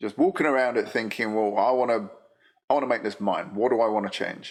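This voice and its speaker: Speaking at a very fast pace, a man with a London accent keeps a medium pitch and ordinary pitch variation. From England, London. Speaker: motorcycle business data analyst. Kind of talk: casual chat.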